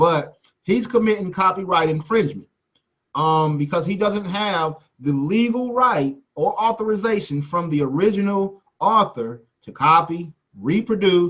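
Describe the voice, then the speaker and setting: Loud and high-pitched, a man with an American accent speaks with lively intonation. His pace is fairly slow. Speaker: music business teacher. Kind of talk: lecture.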